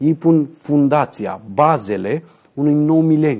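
Over a quiet background, a man speaks at a fairly high pitch in a dark, mellow tone. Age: 40s. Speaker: numerologist; numerologist show host. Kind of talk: TV talk show interview. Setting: TV studio. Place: studio. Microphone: lapel.

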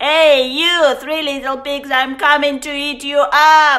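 Using a put-on character voice, a woman growls at a high pitch and a fairly slow pace. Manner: growling, menacing.

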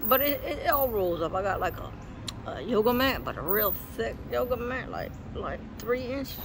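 Noticeable background noise accompanies a man speaking at a fairly slow pace. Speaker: vlogger. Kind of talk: casual vlog chat. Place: street. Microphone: phone near.

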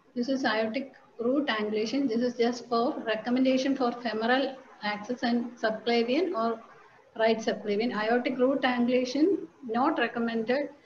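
Noticeable background noise sits behind a woman with a high pitch and fairly even intonation. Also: moderate pace. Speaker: cath lab technologist. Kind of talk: lecture. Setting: video call.

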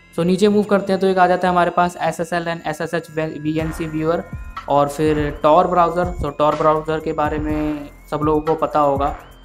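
With music in the background, a man speaks at a moderate pace in a fairly high, monotone, flat voice. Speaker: tech tutorial creator. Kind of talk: screen-recording tutorial narration. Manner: lower energy than usual.

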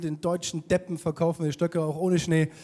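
A man at a fairly quick pace, with crowd noise in the background. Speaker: stand-up comedian. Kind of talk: stand-up comedy monologue. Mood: sarcastic, mocking humor. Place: stage. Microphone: handheld.

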